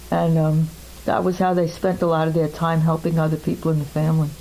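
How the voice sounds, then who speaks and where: Through noticeable background noise, a woman with an American accent talks at a moderate pace. Her pitch is very deep and low, and her intonation is monotone and flat. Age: 70s. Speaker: interviewee recounting family history. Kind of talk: oral history interview.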